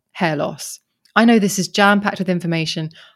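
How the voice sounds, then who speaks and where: In a very clean recording with a silent background, a woman speaks at a medium pitch with a southern English accent. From Kent, south-east England. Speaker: podcaster. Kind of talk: interview conversation.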